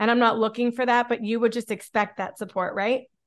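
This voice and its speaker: A woman's high-pitched voice with an American accent. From Pennsylvania, near Pittsburgh. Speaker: author and podcaster, mother. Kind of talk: interview conversation.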